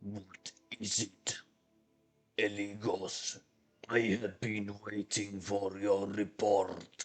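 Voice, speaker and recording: Using a put-on character voice, a man speaks very slowly in a raspy, fairly low pitch with a monotone, flat intonation and long, frequent pauses, while faint music plays in the background. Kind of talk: Nosferatu-like creepy voice. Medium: actual play. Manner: slow, imperious.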